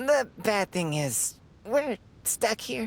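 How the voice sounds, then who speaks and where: A put-on character voice, female-sounding and raspy, pitched fairly high for a woman. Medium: fan dub. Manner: chatty, genteel.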